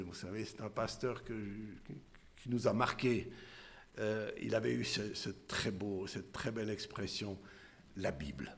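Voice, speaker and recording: Speaking at a very slow pace, a man with a fairly low pitch and ordinary pitch variation is heard with audible room echo. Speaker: lay preacher. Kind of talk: sermon. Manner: halting.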